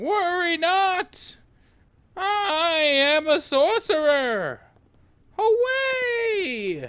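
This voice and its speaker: In a put-on character voice with an extremely high pitch, the speaker goes at a very slow pace with long, frequent pauses. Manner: weak, feeble-sounding.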